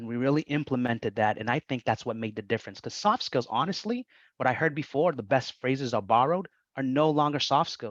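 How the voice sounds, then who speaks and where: A man speaks very fast in a Boston accent with ordinary pitch variation. The sound is dry and close with no echo, and the background is quiet. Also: medium pitch for a man. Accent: Somerville, Massachusetts. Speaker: vocational rehabilitation staff running internship program. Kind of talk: presentation at public meeting. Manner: repetitive, halting.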